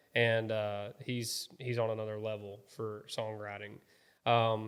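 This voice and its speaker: A fairly slow, monotone delivery with flat intonation in a Southern accent. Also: man, fairly low pitch for a man. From US South, South Alabama. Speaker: country singer-songwriter. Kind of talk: interview. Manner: casual, relaxed.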